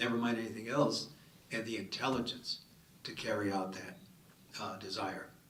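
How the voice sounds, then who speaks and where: This is a man speaking at a medium pitch. Room echo can be heard. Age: 70s. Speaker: city councilor on a panel. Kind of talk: panel discussion. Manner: animated.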